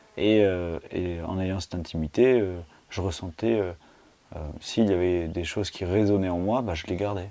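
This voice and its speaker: A man speaks with a dark, mellow tone at a very deep, low pitch. His pace is moderate. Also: fairly even intonation. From Tarn, southern France. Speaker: host's brother. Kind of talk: casual conversation. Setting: face-to-face filmed chat. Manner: hesitant, many fillers.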